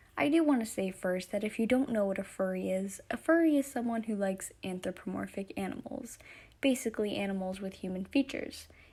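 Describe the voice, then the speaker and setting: Lively intonation marks this woman's somewhat breathy voice, with a dark, mellow tone. She talks at a fairly quick pace with a medium pitch. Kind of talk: casual talk to camera.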